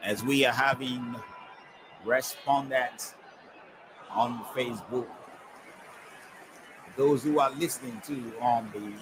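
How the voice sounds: A man's medium-pitched voice with a fairly bright tone, ordinary pitch variation, a slow pace and long, frequent pauses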